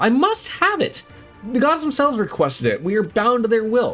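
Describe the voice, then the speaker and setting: A put-on character voice at a fairly quick pace, with faint music in the background. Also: female-sounding voice, high pitch for a woman. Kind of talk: archaic, mock-fantasy diction.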